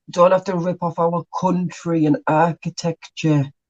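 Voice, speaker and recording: A man with a Northeast English accent at a fairly slow pace. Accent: North-East English. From North-East England. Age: 20s. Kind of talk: casual reaction commentary.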